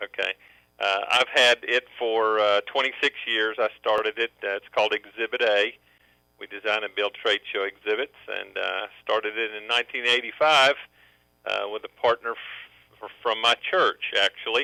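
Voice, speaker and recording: Speaking at a medium pitch, the man has a Southern accent and fairly even intonation. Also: moderate pace. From US South, Memphis, Tennessee. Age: 50s. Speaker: businessman. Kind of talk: testimony. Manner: halting.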